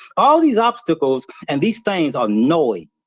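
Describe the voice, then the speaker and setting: Male speaker with an animated tone. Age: 60s. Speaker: inventor and business owner. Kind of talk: motivational talk.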